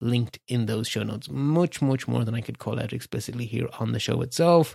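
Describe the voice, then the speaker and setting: In an Irish accent, a man speaks with lively intonation. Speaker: tech podcast host. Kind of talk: solo news roundup. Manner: rambling, conversational.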